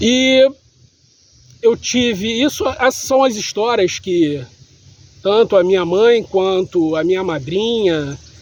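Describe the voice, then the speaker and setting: A man with a high pitch and lively intonation, at a very slow pace with long, frequent pauses. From Brazil, Rio de Janeiro city. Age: 40s. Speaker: vlogger sharing life story. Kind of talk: personal testimony monologue.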